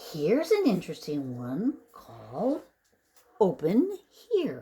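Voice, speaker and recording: A female-sounding, put-on character voice speaks at a very slow pace in a timid tone. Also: medium pitch for a woman. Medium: read story. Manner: timid, hopeful.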